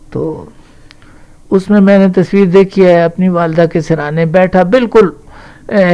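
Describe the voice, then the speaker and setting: A man's high-pitched voice with a dark, mellow tone and fairly even intonation. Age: 70s. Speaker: Urdu poet. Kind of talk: interview answer.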